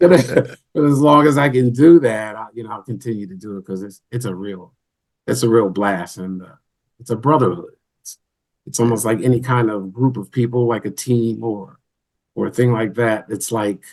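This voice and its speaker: In a normal speaking voice, a man talks at a medium pitch and a moderate pace with ordinary pitch variation and big swings in loudness. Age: 60s. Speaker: band member, musician. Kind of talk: interview.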